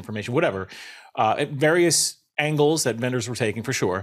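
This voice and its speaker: With lively intonation and a slight New York accent, a man speaks on a very clean recording with a silent background. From Long Island, New York. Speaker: network engineer in technical marketing. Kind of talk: casual interview conversation.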